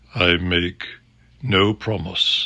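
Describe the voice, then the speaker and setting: A man's put-on character voice, pitched very deep and low. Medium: read story. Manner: calm, grave, unhurried.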